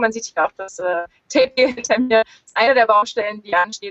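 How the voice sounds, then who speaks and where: A woman talks at a fairly quick pace. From northern Germany, Lüneburg near Hamburg. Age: 30s. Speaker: solo sailor. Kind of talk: interview. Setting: video call from sailboat in marina. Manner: hesitant, many fillers.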